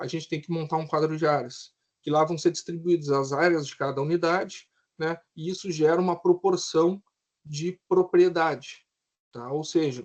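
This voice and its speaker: This man has an unremarkable speaking voice. His intonation is fairly even and his pace moderate. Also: fairly high pitch for a man. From southern Brazil, Rio Grande do Sul. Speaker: civil engineer. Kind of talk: lecture.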